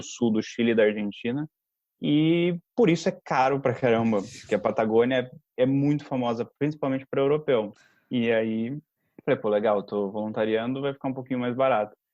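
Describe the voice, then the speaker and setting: At a moderate pace, a man talks in an ordinary speaking voice with a medium pitch and ordinary pitch variation. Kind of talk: podcast conversation. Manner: casual, storytelling.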